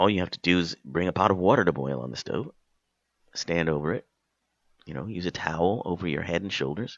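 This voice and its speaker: A man speaks with a very deep, low pitch and vocal fry. His intonation is lively. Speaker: talk radio host. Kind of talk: radio monologue. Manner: hesitant, with fillers.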